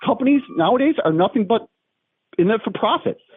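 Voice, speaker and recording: At a fairly quick clip, a man speaks with music playing behind him. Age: 60s. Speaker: prank call victim, collision repair teacher. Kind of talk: phone call complaint. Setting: phone call.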